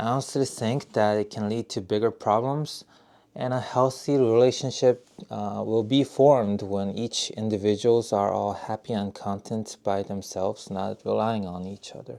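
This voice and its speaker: A man speaks at a moderate pace with a dark, mellow tone. His pitch is fairly low, and his intonation stays fairly even. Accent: Korean. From South Korea. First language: Korean. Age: 30s. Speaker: YouTuber, software engineer. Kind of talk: casual vlog monologue. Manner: halting, with fillers.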